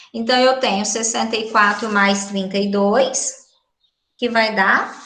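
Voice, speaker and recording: Speaking very slowly in a flat monotone, a woman has a fairly high pitch, and the room echo is audible. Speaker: school math teacher. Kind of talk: online class lesson.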